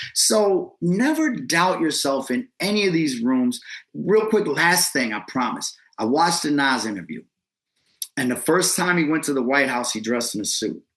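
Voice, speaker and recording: Speaking with an American accent, a man uses a fairly high pitch and very wide pitch swings at a moderate pace. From Ohio, Lake County (Painesville, near Cleveland). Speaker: hip hop artist and event host. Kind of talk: casual interview. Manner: loud, outgoing; animated.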